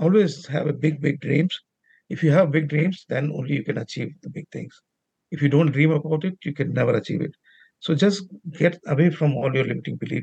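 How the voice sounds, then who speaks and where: His voice is dark and mellow, somewhat breathy, and fairly high in pitch for a man. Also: ordinary pitch variation, fairly quick pace. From outside Canada, different cultural background. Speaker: risk management professional and nonprofit founder. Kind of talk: interview. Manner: hesitant, with filler sounds.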